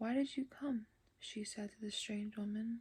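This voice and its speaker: The voice is soft-spoken and somewhat breathy, moving at a fairly slow pace. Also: woman. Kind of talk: ASMR audiobook reading.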